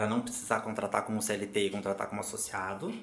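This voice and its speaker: A man with a fairly low voice speaks at a fairly quick pace in an ordinary speaking voice. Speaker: legal management consultant. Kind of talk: podcast interview.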